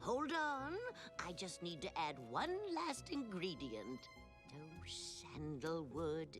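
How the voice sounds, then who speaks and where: In a cartoonish character voice, the speaker goes at a fairly slow pace with long, frequent pauses while clear music plays in the background. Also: woman. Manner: rambling, absent-minded.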